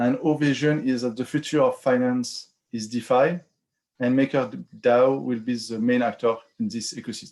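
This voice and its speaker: Using fairly even intonation, a man with a French accent talks at medium pitch and a moderate pace. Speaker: finance working group lead presenting a proposal. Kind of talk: online community call presentation.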